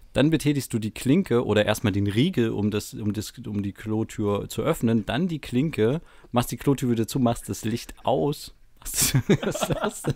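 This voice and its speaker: On a very clean recording with a silent background, a man with an ordinary speaking voice talks at medium pitch and a fairly slow pace, using lively intonation. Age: 20s. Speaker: podcast co-host. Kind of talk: casual chat. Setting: home recording in a bedroom.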